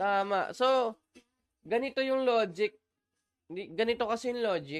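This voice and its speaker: Here a man speaks with a high pitch and lively intonation. The pace is fairly slow, and the sound is dry and close with no echo. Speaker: gaming livestreamer. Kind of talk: live gameplay stream chat.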